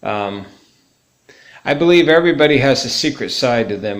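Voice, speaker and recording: In audible room echo, a man speaks at a moderate pace. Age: 50s. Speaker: musician and ministry video blogger. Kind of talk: casual monologue tribute. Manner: hesitant, many fillers and repetitions.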